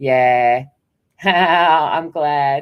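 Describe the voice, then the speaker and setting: In an Australian accent, a woman speaks with ordinary pitch variation on a very clean recording with a silent background. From Australian, half New Zealander. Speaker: live-stream host reading viewer comments.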